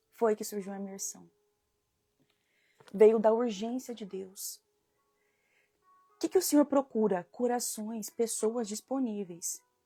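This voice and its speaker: Music plays behind a woman speaking very slowly. Her pitch varies in an ordinary way, broken by long, frequent pauses. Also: fairly high pitch for a woman. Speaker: women's devotional leader. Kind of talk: devotional live stream. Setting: live stream. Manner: soft-spoken at start.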